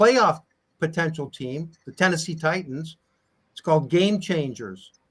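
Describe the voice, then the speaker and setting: A man's normal speaking voice, fairly high in pitch, at a fairly slow pace with big swings in loudness. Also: lively intonation. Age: 60s. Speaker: retired football player. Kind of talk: casual chat.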